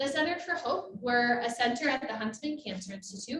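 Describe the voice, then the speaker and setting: A loud woman speaks at a moderate pace with very wide pitch swings, and room echo is audible. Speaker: assistant professor and cancer researcher. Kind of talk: conference presentation. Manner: trying to project, speaking loudly. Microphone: microphone cutting out, remote listeners can't hear.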